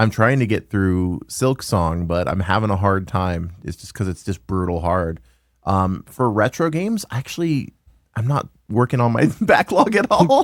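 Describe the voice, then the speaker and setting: On a very clean recording with a silent background, a man with an unremarkable speaking voice and fairly low pitch speaks at a fairly slow pace with lively intonation. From US South, Louisiana. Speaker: retro game store owner, podcast host. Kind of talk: casual chat.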